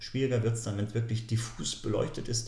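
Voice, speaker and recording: A man's voice carries audible room echo. Background noise is noticeable. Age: 40s. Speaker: nature photographer and author. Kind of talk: podcast interview.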